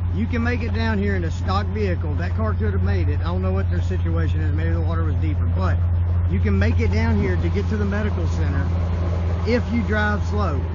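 A man at a fairly quick pace, dry sound with no echo, over loud background noise. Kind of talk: casual informational vlog. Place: open country. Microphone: phone near.

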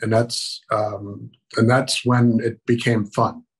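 A man with an American accent sounds somewhat breathy against a quiet background. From Maryland, Baltimore. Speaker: army veteran. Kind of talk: oral history interview. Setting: video call. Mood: reminiscing, calm. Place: home room. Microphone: video call.

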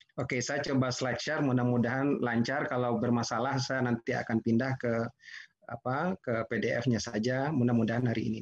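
Against a quiet background, a man talks at a fairly quick pace in an unremarkable speaking voice. His pitch is medium and his intonation fairly even. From West Sumatra, Indonesia (Padang Pariaman); West Sumatra. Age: 50s. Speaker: digital business professional; webinar presenter. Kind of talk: webinar presentation. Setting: video call webinar, working from home. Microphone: video call.

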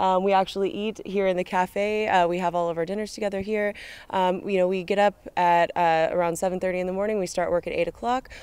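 A woman with an American accent, fairly quick pace and monotone, flat intonation, in a dry sound with no echo. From California, USA. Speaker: student archaeologist. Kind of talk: casual interview.

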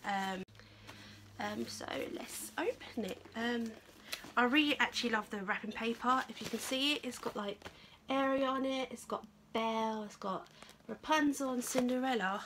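A woman speaks at a moderate pace with fairly high pitch and a fairly bright tone. Her intonation stays fairly even.

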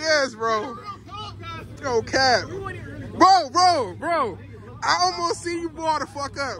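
A raised, projected voice sounds animated, with very wide pitch swings. Crowd noise fills the background. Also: man. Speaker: car vlogger. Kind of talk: casual vlog talk. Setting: in a car. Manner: animated, excitable.

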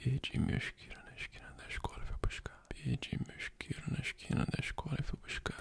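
A man whispering at a fairly quick pace, with big swings in loudness and hardly any pauses. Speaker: ASMR creator. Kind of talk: ASMR tongue twisters. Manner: whispered, soft-spoken. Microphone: studio mic.

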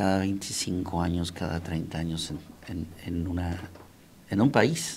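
Light background noise sits behind a man's speech. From Mexico, Monterrey; Nuevo León, Mexico. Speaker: singer, tenor; interviewee. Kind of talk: interview. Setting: studio. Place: studio. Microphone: handheld.

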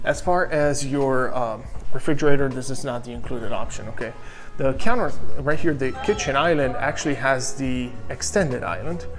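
A man keeps a moderate speed while clear music sounds behind him. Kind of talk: tour commentary. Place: kitchen. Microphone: phone near.

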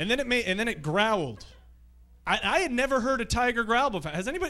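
A man talks in a raised, projected voice with lively intonation. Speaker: stand-up comedian. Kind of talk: stand-up comedy routine. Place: stage. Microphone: handheld.

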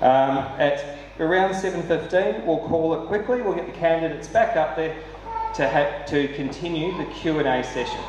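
Light background noise and audible room echo surround a man with a New Zealand accent talking at a fairly slow pace. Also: ordinary pitch variation. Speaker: event host for environmental nonprofit. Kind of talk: moderating a public candidate forum. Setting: hall with live audience. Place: hall.

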